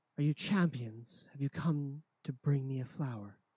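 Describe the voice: The voice is a put-on character voice, pitched low-to-middle. Its pace is moderate.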